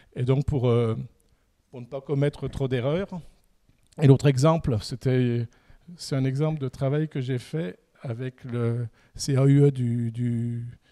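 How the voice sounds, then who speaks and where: A man talks at a fairly slow pace with a dark, mellow tone and fairly even intonation. The sound is dry and close with no echo. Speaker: landscaper and nursery owner. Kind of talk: conference talk. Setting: conference. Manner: halting, many fillers.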